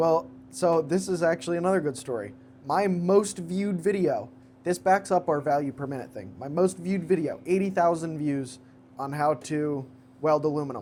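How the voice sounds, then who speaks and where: This man has a fairly high pitch and a dark, mellow tone, talking at a moderate pace. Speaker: podcast co-host and YouTuber. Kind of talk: casual chat. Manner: monotone.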